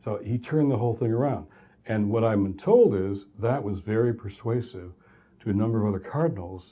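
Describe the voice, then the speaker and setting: A man with an American accent speaks fairly quickly in a somewhat breathy, dark, mellow voice at medium pitch, using ordinary pitch variation. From US Midwest, Detroit, Michigan. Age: 60s. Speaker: professor. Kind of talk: lecture.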